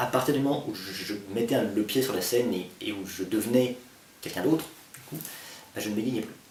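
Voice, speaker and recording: Through audible room echo and noticeable background noise, a man talks fairly quickly at medium pitch with ordinary pitch variation, big swings in loudness and long, frequent pauses. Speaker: actor. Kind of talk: interview.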